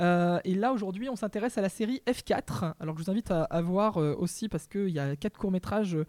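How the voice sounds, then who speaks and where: A fairly quick pace with hardly any pauses. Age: 20s. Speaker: podcast host. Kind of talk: casual chat. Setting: live stream from a bar.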